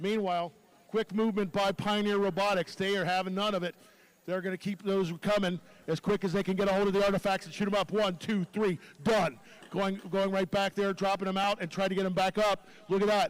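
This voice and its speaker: A man talks at a fairly quick pace. His voice sits high in pitch. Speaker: robotics match announcer. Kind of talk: live commentary. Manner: loud; animated.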